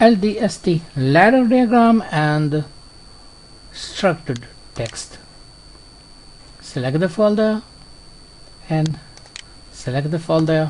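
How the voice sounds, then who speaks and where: Speech comes very slowly with long, frequent pauses, over noticeable background noise. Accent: non-native. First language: not English. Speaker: software tutorial creator. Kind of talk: tutorial. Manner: halting, many fillers and repetitions.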